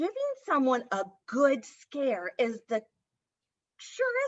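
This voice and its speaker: A woman uses a put-on character voice with a high pitch. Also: fairly slow pace. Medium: read story. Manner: friendly, chatty.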